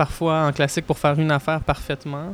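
A man's fairly high voice, monotone and flat, at a moderate pace. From Quebec, Montreal. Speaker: record producer and musician. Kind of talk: interview.

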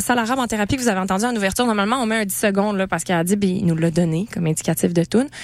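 A woman talks in an animated tone. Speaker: radio host. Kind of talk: casual chat. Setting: studio.

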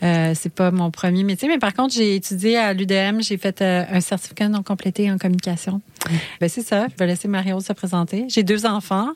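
A woman's medium-pitched, unremarkable speaking voice at a moderate pace with ordinary pitch variation, in a dry, close sound with no echo. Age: 40s. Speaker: podcaster and clothing shop owner. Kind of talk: radio interview.

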